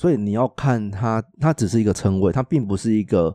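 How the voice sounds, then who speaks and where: Against a quiet background, a man talks at a moderate pace in an ordinary speaking voice of medium pitch with lively intonation. The recording is dry and close, with no echo. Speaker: podcast co-host. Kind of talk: casual chat.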